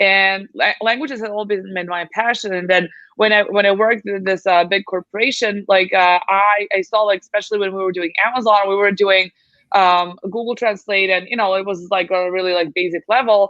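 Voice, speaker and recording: A woman with a Serbian accent talks at a fairly quick pace, keeping a medium pitch and fairly even intonation. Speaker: translation agency founder. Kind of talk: podcast interview.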